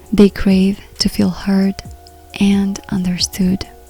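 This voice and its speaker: A soft-spoken woman talks at a very slow pace, her medium-pitched voice monotone and flat. Music plays in the background. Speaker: personal development counselor and relationship coach. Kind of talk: podcast monologue.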